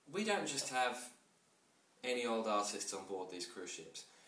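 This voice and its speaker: A man's voice carries an audible room echo. Noticeable background noise is also present. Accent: English. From England. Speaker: art auctioneer. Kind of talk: sales pitch. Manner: fast; animated.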